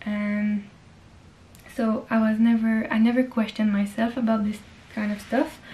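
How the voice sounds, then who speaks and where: With a French accent and a fairly high pitch, a woman speaks at a moderate pace in a monotone, flat intonation, leaving long, frequent pauses. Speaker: lifestyle vlogger. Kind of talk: casual vlog monologue. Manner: hesitant, with fillers.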